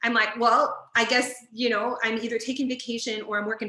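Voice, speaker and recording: Behind a woman's fairly high voice, noticeable background noise can be heard. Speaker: library director. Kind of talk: webinar presentation. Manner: fast.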